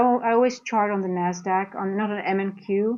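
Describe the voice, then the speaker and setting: With a Dutch accent, a woman speaks at a fairly slow pace in a medium pitch with fairly even intonation. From Netherlands, grew up partly in Singapore. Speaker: trader and trading coach. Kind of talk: live trading stream with chat Q&A. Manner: casual, halting.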